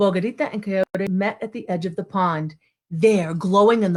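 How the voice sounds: Quiet background behind a natural reading voice of ordinary pitch variation.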